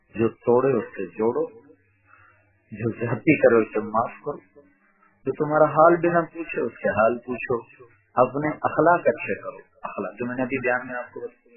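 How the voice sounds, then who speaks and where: A man speaks in a plain, everyday voice. His pitch varies in an ordinary way. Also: medium pitch for a man. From Pakistan. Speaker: Islamic scholar and preacher. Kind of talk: religious sermon (bayan).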